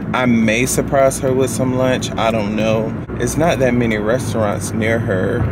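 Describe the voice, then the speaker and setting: Loud background noise surrounds a man who keeps a moderate pace. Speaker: vlogger. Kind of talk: casual vlog chat. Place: car. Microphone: phone near.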